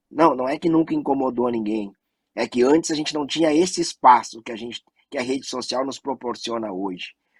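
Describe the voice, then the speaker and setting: Using a normal speaking voice, a man with a medium pitch and ordinary pitch variation talks at a fairly quick pace with big swings in loudness, in a dry, close sound with no echo. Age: 40s. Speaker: anti-racism organization director. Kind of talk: panel discussion.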